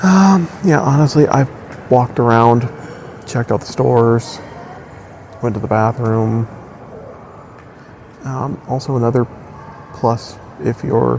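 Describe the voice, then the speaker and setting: Quiet, fairly slow speech with long, frequent pauses, ordinary pitch variation, and noticeable background noise. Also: man, medium pitch for a man. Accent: American. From US Midwest, Wisconsin. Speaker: travel vlogger. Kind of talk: casual vlog chat. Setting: airport terminal. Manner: hesitant with many fillers.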